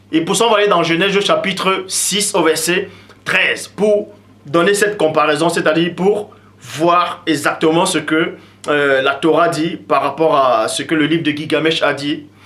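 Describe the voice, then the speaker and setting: A man's high voice at a fairly slow pace, amid noticeable background noise and audible room echo. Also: ordinary pitch variation. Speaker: religious teacher. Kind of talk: lecture.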